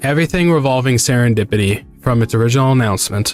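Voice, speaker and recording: Music plays in the background as a man speaks at medium pitch with lively intonation. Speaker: VTuber streamer. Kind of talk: casual stream talk about a concert.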